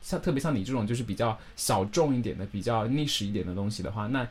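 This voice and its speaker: A man talks with lively intonation at medium pitch. He has an ordinary speaking voice. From northern China. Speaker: internet radio host. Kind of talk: casual interview.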